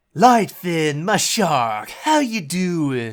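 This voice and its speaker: A man puts on a character voice at a high pitch. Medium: audio drama. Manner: casual, cocky.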